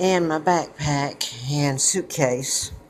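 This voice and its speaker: A woman talks with a very deep, low pitch. Her intonation stays fairly even. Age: 70s. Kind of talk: casual talk to camera.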